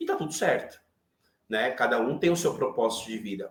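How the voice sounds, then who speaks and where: With lively intonation, the man talks in a high voice. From Brazil, São Paulo. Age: 40s. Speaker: IT professional and manager. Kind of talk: interview conversation on a live online chat.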